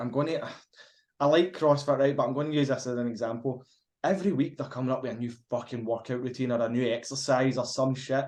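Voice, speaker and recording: A man with a Glaswegian accent, fairly high-pitched, talking at a fairly quick pace. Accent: Glaswegian Scottish. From Scotland, Glasgow. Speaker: fitness podcast co-host. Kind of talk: casual chat. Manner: halting at times.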